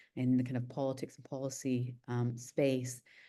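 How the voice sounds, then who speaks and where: A fairly slow woman's voice in a Scottish accent, dark and mellow in tone, over a quiet background. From UK, studied in Scotland. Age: 40s. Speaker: nuclear policy expert, think tank director. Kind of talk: online panel interview. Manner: hesitant, many fillers.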